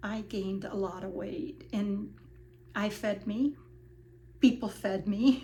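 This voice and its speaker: A somewhat breathy woman's voice at medium pitch, with ordinary pitch variation, big swings in loudness, a very slow pace and long, frequent pauses. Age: 70s. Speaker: vlogger sharing personal weight loss journey. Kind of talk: personal testimony monologue. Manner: hesitant, many fillers.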